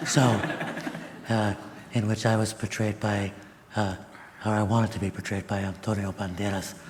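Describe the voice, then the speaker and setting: Noticeable background noise surrounds a man speaking at a fairly low pitch. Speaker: professor. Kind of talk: panel discussion.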